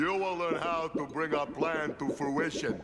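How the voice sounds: Amid loud background noise, a man puts on a cartoonish character voice, fairly high in pitch, at a moderate pace.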